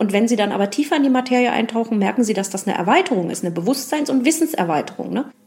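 A woman talks very fast with hardly any pauses, her pitch fairly high and her intonation lively. Noticeable background noise is present. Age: 40s. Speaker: museum guide. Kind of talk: interview. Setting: museum.

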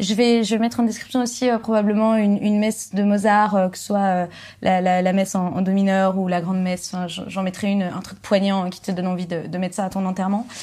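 A woman speaks at a fairly quick pace with a dark, mellow tone, medium pitch and fairly even intonation, on a very clean recording with a silent background. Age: 20s. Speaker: actress and musicologist, classical music video creator. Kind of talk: casual chat.

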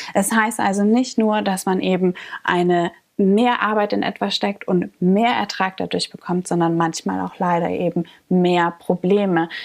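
A woman has an unremarkable speaking voice at medium pitch. She talks fairly slowly with fairly even intonation. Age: 20s. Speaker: coffee roaster staff member. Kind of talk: explainer monologue.

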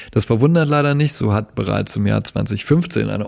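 A man with a slight Saxon accent speaks at a moderate pace. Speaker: podcast producer. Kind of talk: scripted segment presentation.

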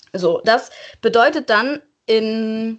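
This woman's voice sits at a fairly high pitch. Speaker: marine science student podcaster. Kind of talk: casual educational chat. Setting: in-person recording.

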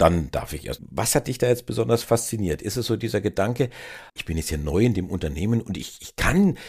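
This man's voice carries vocal fry and very wide pitch swings. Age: 50s. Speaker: podcast host. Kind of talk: interview.

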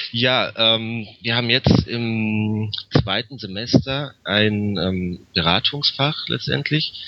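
Very slowly, a man speaks at medium pitch with ordinary pitch variation. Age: 20s. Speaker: master's student. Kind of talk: interview. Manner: halting, many filler sounds.

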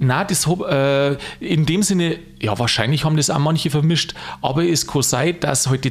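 Speaking in a Lower Bavarian accent is a man. He keeps a moderate pace with ordinary pitch variation. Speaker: podcast host. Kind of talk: casual chat.

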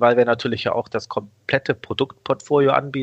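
A man at a moderate pace, fairly even in intonation, with a dry, close sound and no echo. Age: 40s. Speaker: online broker executive. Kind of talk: interview. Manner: hesitant with many fillers.

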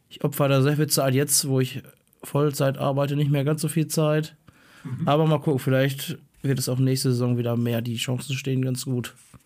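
A man speaks in a fairly high voice with monotone, flat intonation. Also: moderate pace. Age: 30s. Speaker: teacher. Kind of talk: casual chat.

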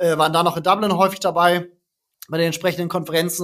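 Very fast speech comes from a man with high pitch. His intonation is monotone and flat. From northern Germany, Kiel. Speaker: startup founder and CEO. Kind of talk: interview.

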